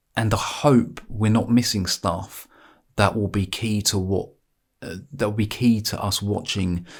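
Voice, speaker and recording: This man's voice sits fairly low, and his intonation stays fairly even. Nothing can be heard behind him on this very clean recording. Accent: English. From England. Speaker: sports vlogger. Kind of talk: casual monologue. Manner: halting, repetitive.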